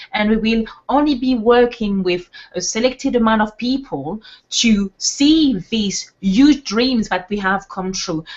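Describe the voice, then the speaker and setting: A woman with a French accent speaks at a fairly high pitch and a fairly slow pace. Her voice is somewhat breathy, with lively intonation. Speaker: webinar co-host, network marketer. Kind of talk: motivational webinar talk. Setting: online webinar. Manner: animated.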